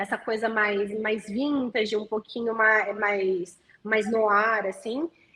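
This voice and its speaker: A woman with a fairly high pitch speaks very slowly, keeping her intonation fairly even. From Santo André, São Paulo state, Brazil. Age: 20s. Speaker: singer-songwriter. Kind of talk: interview answer.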